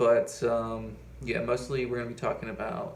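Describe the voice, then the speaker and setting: Audible room echo carries the voice of a man with an American accent. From Appalachia, US. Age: 20s. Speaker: finance YouTuber. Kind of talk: casual vlog monologue. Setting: at home. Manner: halting, many fillers.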